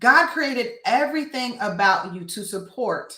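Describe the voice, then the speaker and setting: A loud woman's voice, fairly high and bright, sharp in tone, with very wide pitch swings at a fairly slow pace. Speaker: business coach and mentor. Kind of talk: motivational talk.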